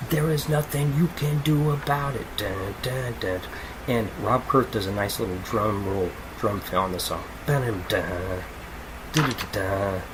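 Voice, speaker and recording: Amid noticeable background noise and audible room echo, a man talks at a fairly slow pace and medium pitch with lively intonation. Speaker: podcast host, music reviewer. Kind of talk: casual album review monologue. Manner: animated; loud.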